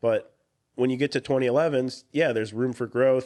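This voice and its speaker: Against a quiet background, a man talks at a fairly quick pace in a medium pitch with fairly even intonation. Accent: Midwestern US. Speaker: firearms channel host. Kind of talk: casual chat. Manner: casual with many fillers.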